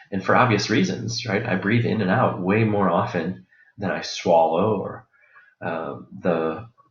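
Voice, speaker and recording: There is audible room echo around this man's voice. He talks at a fairly slow pace with ordinary pitch variation. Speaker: college instructor. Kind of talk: lecture.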